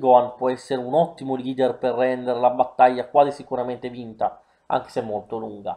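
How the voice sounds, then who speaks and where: Against a quiet background, a man with a dark, mellow tone speaks at medium pitch and a moderate pace. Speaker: gaming YouTuber. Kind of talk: video game commentary.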